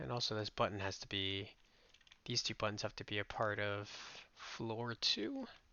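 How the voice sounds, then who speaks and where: A quiet man's voice, fairly low in pitch, at a moderate pace with fairly even intonation and long, frequent pauses. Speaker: game developer youtuber. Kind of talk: casual work-along commentary. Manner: halting.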